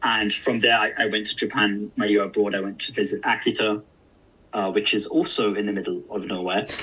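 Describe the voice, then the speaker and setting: Here a man speaks in an English Midlands accent. His pace is fairly quick. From English Midlands, Derby. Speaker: localization manager in video games. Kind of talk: interview. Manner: hesitant, many fillers.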